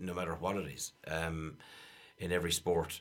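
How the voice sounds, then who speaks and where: With an Irish accent, a man speaks at a very deep, low pitch. His intonation is monotone and flat, at a moderate pace. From Ireland, County Clare. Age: 40s. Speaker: Irish dancer and choreographer. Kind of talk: radio interview. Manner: halting.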